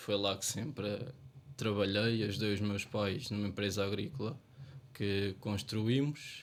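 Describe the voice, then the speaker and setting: The man's medium-pitched voice moves at a fairly slow pace. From Portugal, Ferreira do Zêzere area. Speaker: local election candidate. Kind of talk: election debate.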